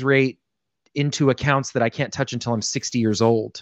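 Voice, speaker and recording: A man with a fairly high pitch speaks in an ordinary speaking voice. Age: 30s. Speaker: financial advisor. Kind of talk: casual chat.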